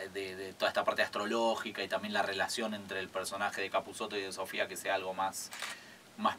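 A man with a fairly low pitch talks at a fairly quick pace against light background noise. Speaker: guest. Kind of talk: interview answer. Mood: relaxed, reflective, some laughter. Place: studio. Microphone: studio mic.

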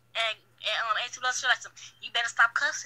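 A woman speaks at a fast pace with a fairly high pitch. Her tone is bright and sharp, and her intonation is fairly even.

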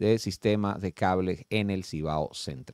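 Against a quiet background, a man speaks with lively intonation in a dry sound with no echo. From Dominican Republic. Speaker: TV talk show host. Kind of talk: talk show discussion. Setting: studio. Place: studio. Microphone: studio mic.

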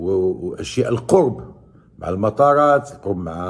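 Lively intonation runs through this man's dark, mellow tone as he speaks at a fairly slow pace. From Morocco. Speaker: YouTube sports commentator. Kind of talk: video commentary. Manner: animated. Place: home room. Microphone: phone near.

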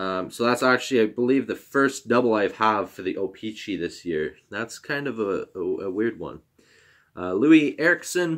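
The speaker is a man with lively intonation. He keeps a moderate pace. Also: quiet background. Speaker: YouTuber opening hockey card packs. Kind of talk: casual card-opening video. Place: home room. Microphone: webcam.

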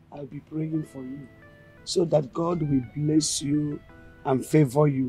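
A woman puts on a character voice, low in pitch with a dark, mellow tone and a husky, rough edge. She talks at a slow pace as faint music plays in the background. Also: fairly even intonation.

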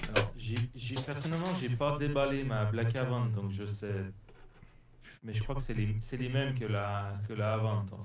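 A man talks at a fairly slow pace with ordinary pitch variation and a somewhat breathy sound. Room echo is audible, and there is noticeable background noise. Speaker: RC hobbyist on Discord. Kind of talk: casual chat. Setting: Discord voice call. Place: workshop.

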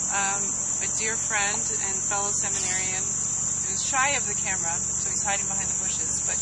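The speaker is a woman talking at a moderate pace. Loud noise fills the background. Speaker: event host. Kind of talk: interview answer. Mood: warm, welcoming. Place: garden.

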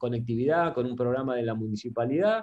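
He is a man whose intonation is lively. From Argentina, Concordia, Entre Ríos. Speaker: software company CEO. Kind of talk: interview. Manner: halting, many repetitions and fillers. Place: home room. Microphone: video call.

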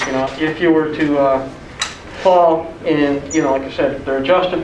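A man with an American accent, fairly high-pitched and monotone, flat in intonation, at a fairly quick pace amid audible room echo and light background noise. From US Midwest. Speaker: vocational program instructor. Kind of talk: orientation talk. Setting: room with audience. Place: classroom. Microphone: camera far.

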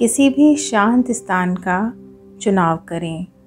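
A woman talks at medium pitch. Behind her, music plays. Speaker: yoga teacher. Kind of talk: guided meditation. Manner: slow, soft-spoken.

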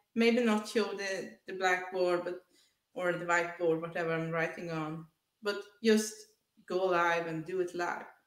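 A woman speaks at a fairly slow pace with fairly even intonation. Audible room echo surrounds her, though the background is quiet. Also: fairly low pitch for a woman. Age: 30s. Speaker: author and artist; interview guest. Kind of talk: testimony; interview answer. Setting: video call. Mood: earnest, reflective. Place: home room. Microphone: headset.

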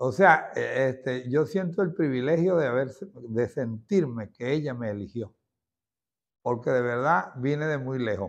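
Against a quiet background, a man speaks fairly slowly with lively intonation. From Venezuela, Santa Rosa, Barquisimeto (Lara); Lara, Venezuela. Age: 60s. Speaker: former president of a religious devotional society. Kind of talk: testimony. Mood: warm, devout, reminiscing. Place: home room. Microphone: lapel.

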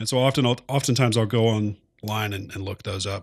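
Somewhat breathy and with an American accent, the voice moves at a fairly quick pace with fairly even intonation on a very clean recording with a silent background. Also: man. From Oklahoma. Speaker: podcast co-host and military firefighter. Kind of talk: casual chat.

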